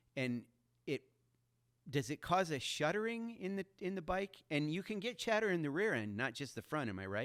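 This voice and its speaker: An ordinary speaking voice at a moderate pace, with lively intonation. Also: man. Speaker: motorsport show host. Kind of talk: podcast-style interview talk.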